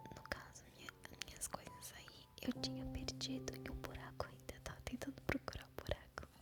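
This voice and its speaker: Whispering with big swings in loudness, over noticeable background noise. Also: woman, moderate pace. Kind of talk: ASMR gameplay talk to camera. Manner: soft-spoken, whispering.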